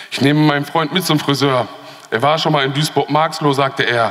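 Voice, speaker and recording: At a fairly quick pace, a man speaks in an animated tone. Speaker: poetry slam performer. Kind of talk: poetry slam performance, rhythmic spoken-word text delivered to a live audience. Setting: stage with audience. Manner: animated, ironic and sarcastic, punchy, with repeated refrain; fast-paced, rushed by time limit. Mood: ironic, pointed, rhythmic. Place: hall.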